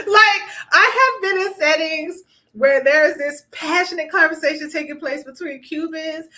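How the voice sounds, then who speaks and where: An animated, raised and projected voice from a woman with an American accent, extremely high-pitched for a woman, with ordinary pitch variation at a moderate pace. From US South, South Florida. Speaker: family law attorney and relationship coach. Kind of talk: live stream talk. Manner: loud.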